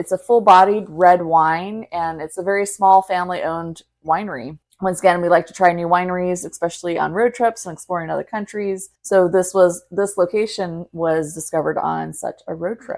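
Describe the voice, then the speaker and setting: A woman with a plain, everyday voice, fairly low pitch and fairly even intonation, at a moderate pace with hardly any pauses and big swings in loudness. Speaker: podcast host. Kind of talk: podcast intro and wine tasting talk.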